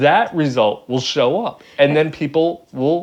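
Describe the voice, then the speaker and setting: A man with an ordinary speaking voice, fairly high in pitch, at a fairly slow pace. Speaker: YouTuber. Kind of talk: casual chat.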